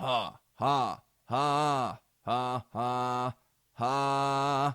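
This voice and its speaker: A man in a put-on character voice sounds raspy and monotone at a medium pitch, on a very clean recording with a silent background. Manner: vocal technique demo.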